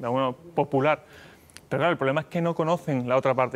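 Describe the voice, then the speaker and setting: A man talks very fast with an Andalusian accent. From Mexico. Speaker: company executive; guest. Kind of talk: TV interview. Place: studio. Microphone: lapel.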